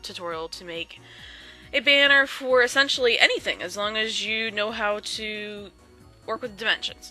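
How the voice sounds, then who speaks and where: Over music in the background, a woman speaks at a moderate pace. Her pitch is fairly high, and her loudness swings widely. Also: ordinary pitch variation. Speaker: Photoshop tutorial maker. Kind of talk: tutorial voice-over. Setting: home, birds in background. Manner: casual, hesitant.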